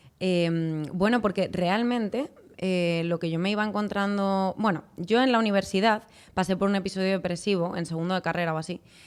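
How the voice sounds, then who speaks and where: In a very clean recording with a silent background, a woman talks at a medium pitch with fairly even intonation. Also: moderate pace. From Spain, Madrid. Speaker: clinical psychologist. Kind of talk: podcast interview. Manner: hesitant, with many fillers.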